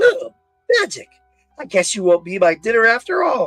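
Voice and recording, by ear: Faint music plays in the background. The speaker uses a put-on character voice with a fairly high pitch.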